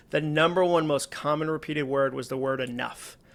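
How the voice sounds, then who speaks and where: Fairly high-pitched man with a normal speaking voice, fairly even intonation and a moderate pace, on a very clean recording with a silent background. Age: 40s. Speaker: author and speaker. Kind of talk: podcast interview.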